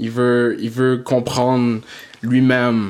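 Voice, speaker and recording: This man's medium-pitched voice stays monotone and flat in its intonation. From Quebec, Montreal area, Haitian family. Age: 20s. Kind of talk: casual chat.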